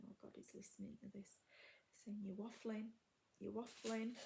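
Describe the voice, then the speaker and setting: A woman speaks with a Yorkshire accent at a medium pitch. Her voice is somewhat breathy, with a dark, mellow tone. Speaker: crafting video host. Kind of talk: casual chat. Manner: halting, many fillers.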